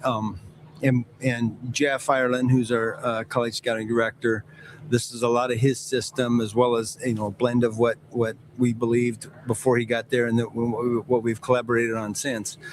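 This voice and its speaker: Over noticeable background noise, a man speaks at a medium pitch and a moderate pace in a monotone, flat delivery. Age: 60s. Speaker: NFL team executive. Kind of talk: interview.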